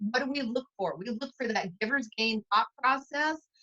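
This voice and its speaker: A woman talks with lively intonation and a bright, sharp tone. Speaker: cosmetics sales director. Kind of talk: interview. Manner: energetic.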